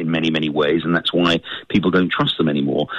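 This speaker has a British accent. The pace is fairly quick. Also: man. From United Kingdom. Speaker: newspaper editor and author. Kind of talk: radio interview.

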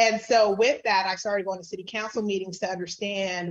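A woman speaks with an ordinary speaking voice in an American accent. Her pitch is medium, and her pace is fairly quick. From San Diego, California. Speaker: nonprofit leader. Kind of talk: interview.

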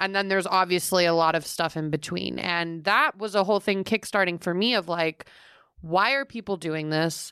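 Heard with a dry, close sound, no echo and a quiet background, a woman speaks at a fairly low pitch in a bright, sharp, energetic tone with ordinary pitch variation. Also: moderate pace. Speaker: podcast co-host. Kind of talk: casual chat.

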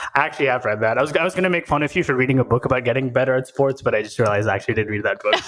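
A man talks at a very fast pace with hardly any pauses and very even loudness over noticeable background noise. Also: medium pitch for a man, ordinary pitch variation. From Oman, Indian family. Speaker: tech founder and CEO. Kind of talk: casual interview chat.

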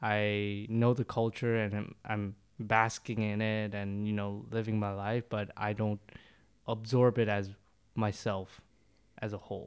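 In a very clean recording with a silent background, a man speaks fairly slowly at a fairly low pitch in a flat monotone. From international communities abroad, Korean family. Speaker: third culture podcast panelist. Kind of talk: casual chat.

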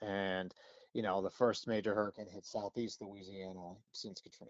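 A man in an American accent talks at a fairly quick pace with a fairly low pitch. His is a plain, everyday voice with fairly even intonation. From Pennsylvania. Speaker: TV meteorologist. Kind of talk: casual interview.

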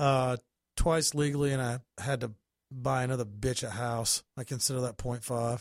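In a normal speaking voice, a man of medium pitch talks at a moderate pace with fairly even intonation, the sound dry and close with no echo. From US South, North Carolina. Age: 40s. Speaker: comedian. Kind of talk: casual chat. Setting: studio.

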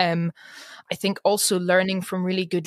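The recording is very clean with a silent background, dry and close with no echo, as a woman speaks at a medium pitch in a Scottish accent. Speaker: podcast co-host. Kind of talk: casual chat.

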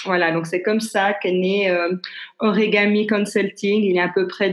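Her intonation is monotone and flat. The woman talks at a fairly slow pace. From Switzerland, Geneva. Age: 50s. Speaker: business consultant and coach. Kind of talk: interview. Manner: halting.

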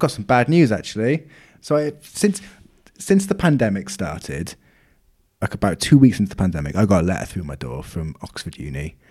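With a dark, mellow tone and vocal fry, a man talks at a fairly quick pace in a fairly low pitch, his pitch swinging very widely and his loudness shifting a lot. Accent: Welsh. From Wales. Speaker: podcast co-host. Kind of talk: casual chat.

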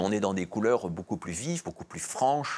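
Music plays in the background as a man with fairly low pitch talks with lively intonation. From Belgium. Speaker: comics historian and author. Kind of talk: interview. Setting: studio. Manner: hesitant, frequent fillers and repetitions.

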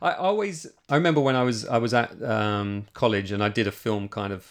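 A man using a normal speaking voice delivers his words at a moderate pace and a fairly low pitch. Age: 40s. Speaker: podcast host. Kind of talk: scripted narration; interview.

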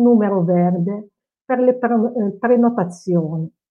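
Very slow speech from a woman, fairly high in pitch, its pitch variation ordinary. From Morocco (Casablanca). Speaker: cultural mediator. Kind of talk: panel discussion.

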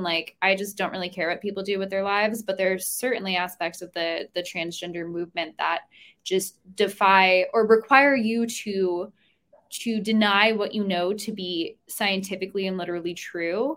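Speaking at a moderate pace with a US Northeastern accent, a woman keeps to a medium pitch with ordinary pitch variation. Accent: US Northeast. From New Jersey. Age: 20s. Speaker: student and writer. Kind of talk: casual interview.

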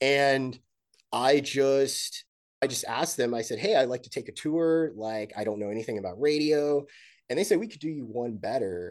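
This man has a fairly high pitch and an American accent, talking at a moderate pace with lively intonation against a quiet background. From North Texas, US. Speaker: journalist. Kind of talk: interview. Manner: halting, with frequent repeated words.

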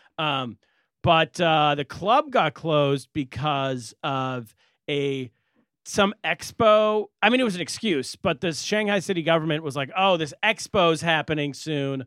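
With an American accent, a plain, everyday voice moves at a fairly slow pace with lively intonation. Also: man, fairly high pitch for a man. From California. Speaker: comedian and podcast co-host. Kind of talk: casual chat.

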